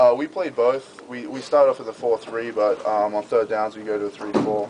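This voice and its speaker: A man speaks at a moderate pace with an Australian accent. Noticeable background noise runs behind him. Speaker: college football player. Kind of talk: interview answer.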